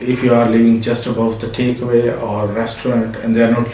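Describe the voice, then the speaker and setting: With an American accent, the speaker keeps a moderate pace while noticeable background noise and audible room echo surround the voice. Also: man. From Pakistan. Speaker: business owner. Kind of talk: interview. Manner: halting, with many fillers.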